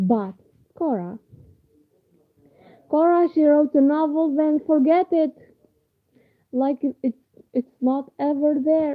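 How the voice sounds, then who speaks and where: A high-pitched woman with an Arabic accent, very slow and full of long, frequent pauses, with very even loudness and ordinary pitch variation. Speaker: university student and novelist. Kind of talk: informal talk to camera. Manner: halting.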